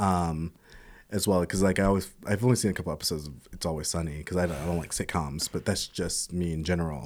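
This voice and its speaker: Very fast and very deep, a man speaks with a low pitch. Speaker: guest film and TV enthusiast. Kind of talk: casual chat. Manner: animated, talkative.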